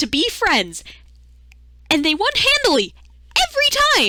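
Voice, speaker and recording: At a moderate pace, a woman uses a raised, projected voice with a bright, sharp tone and very wide pitch swings. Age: 20s. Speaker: video essayist. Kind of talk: video essay commentary. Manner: animated.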